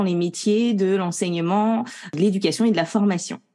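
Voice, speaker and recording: With a dark, mellow tone, a woman speaks at a moderate pace and medium pitch, her pitch variation ordinary. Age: 30s. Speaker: professional coach and trainer. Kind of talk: podcast interview. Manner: hesitant, many fillers.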